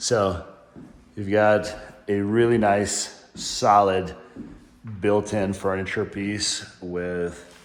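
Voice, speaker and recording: A man speaks at a very slow pace with a fairly low pitch and flat, monotone intonation, leaving long, frequent pauses, with audible room echo around him. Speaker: real estate agent giving home tour. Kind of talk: home tour walkthrough narration. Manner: casual, conversational.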